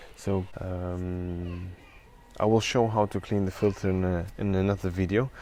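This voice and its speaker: With a non-native accent, a man speaks in a very deep, low pitch with fairly even intonation. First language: not English. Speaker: product reviewer. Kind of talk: tutorial. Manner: halting, many fillers.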